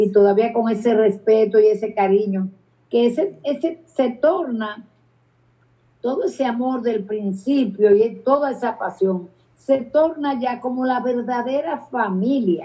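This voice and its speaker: The woman's voice has a dark, mellow tone. She speaks at a fairly slow pace with ordinary pitch variation. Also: fairly high pitch for a woman. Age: 80s+. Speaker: dance teacher and choreographer. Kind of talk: interview. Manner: halting, repeats words.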